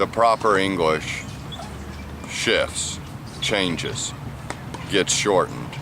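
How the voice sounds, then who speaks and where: A man with an American accent at a very slow pace, ordinary pitch variation, and noticeable background noise. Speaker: ESL teacher. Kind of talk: tutorial. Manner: clear, deliberate.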